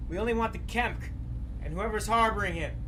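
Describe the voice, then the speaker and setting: Over loud background noise, a man does a put-on character voice. He talks at a fairly quick pace. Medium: audio drama.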